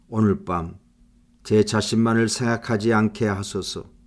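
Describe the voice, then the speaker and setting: In a solemn tone, a man speaks at a fairly slow pace and a fairly low pitch with flat, monotone intonation, on a very clean recording with a silent background. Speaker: prayer leader. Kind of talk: fervent confessional prayer, spoken to God. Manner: earnest, contrite, pleading; slow and solemn, tender in thanks and petition.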